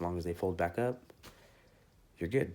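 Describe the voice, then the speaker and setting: The voice belongs to a man. It sits at a very deep, low pitch. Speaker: car audio enthusiast. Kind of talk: tutorial. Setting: office. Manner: fast.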